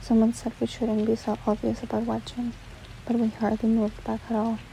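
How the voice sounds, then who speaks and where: Over noticeable background noise, a soft-spoken woman talks at a moderate pace. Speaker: ASMR book reader. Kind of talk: audiobook reading.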